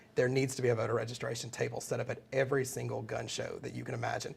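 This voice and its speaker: A man speaks with a Southern US accent. His voice has vocal fry. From US South, Mississippi. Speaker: political trainer. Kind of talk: webinar lecture. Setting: live webinar broadcast.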